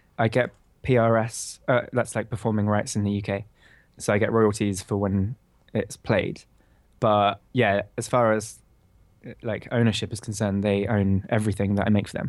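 A man with a British accent speaks at a moderate pace, fairly low in pitch and in a flat monotone. The recording is very clean, with a silent background. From Bristol, England. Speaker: composer. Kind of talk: casual interview.

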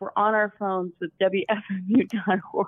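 A woman with a Southern US accent, a fairly high pitch and a fairly slow pace. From Alabama, US South.

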